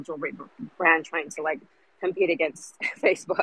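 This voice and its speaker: Very fast and full of very wide pitch swings, a woman's bright, sharp voice comes through with a dry, close sound with no echo. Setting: outdoors, on a walk.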